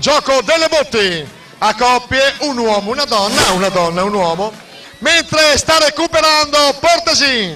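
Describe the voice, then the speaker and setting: A man with an extremely high pitch projects a raised voice with lively intonation at a fairly slow pace over noticeable background noise. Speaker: TV interviewer. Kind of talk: live event commentary. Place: street.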